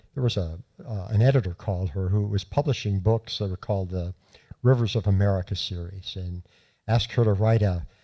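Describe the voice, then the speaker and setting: A man's somewhat breathy, dark, mellow voice at a fairly quick pace with ordinary pitch variation, in a very clean recording with a silent background. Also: fairly low pitch for a man. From South Florida (Miami). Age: 60s. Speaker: journalist and author. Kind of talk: storytelling talk. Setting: lecture hall with audience. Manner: halting.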